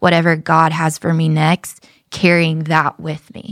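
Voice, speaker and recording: On a very clean recording with a silent background and a dry, close sound with no echo, a woman speaks at a fairly low pitch and a fairly slow pace. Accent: American. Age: 30s. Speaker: church staff member. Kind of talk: casual chat.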